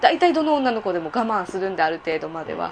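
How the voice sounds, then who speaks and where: A woman's voice with very wide pitch swings. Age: 20s. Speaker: escort and part-time entertainer. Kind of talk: casual interview.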